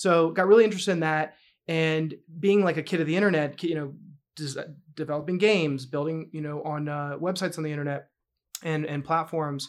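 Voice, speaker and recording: A plain, everyday voice from a man with an American accent, fairly high pitch, fairly quick pace and fairly even intonation, on a very clean recording with a silent background. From US South, North Carolina. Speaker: tech startup CEO. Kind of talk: casual interview chat. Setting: studio.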